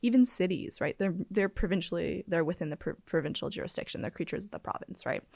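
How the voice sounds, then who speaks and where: A woman talks in a western Canadian accent with ordinary pitch variation. The recording is very clean, with a silent background. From Canada, British Columbia. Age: 20s. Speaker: political candidate. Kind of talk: interview. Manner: halting.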